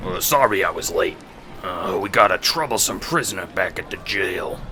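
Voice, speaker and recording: A man's put-on character voice at a moderate pace against clear background noise. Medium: audio drama. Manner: hesitant.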